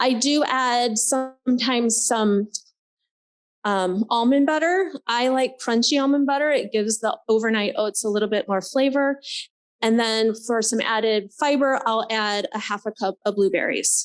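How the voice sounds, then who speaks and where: In a normal speaking voice, the moderate-paced speech has ordinary pitch variation and very even loudness, recorded very cleanly against a silent background. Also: woman, fairly high pitch for a woman. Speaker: nurse practitioner. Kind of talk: presentation. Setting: conference forum.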